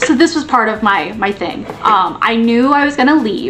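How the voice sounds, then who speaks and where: A woman talks at a moderate pace with lively intonation. Noticeable background noise runs behind her. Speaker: former teacher, video creator. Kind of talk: casual chat. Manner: casual, filler-heavy.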